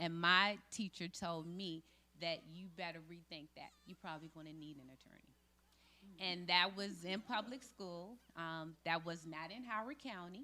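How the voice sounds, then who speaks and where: A woman's bright, sharp voice at a moderate pace, with big swings in loudness. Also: fairly low pitch for a woman, ordinary pitch variation. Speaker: school board nominee. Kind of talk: panel discussion talk. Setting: club meeting with audience, microphone.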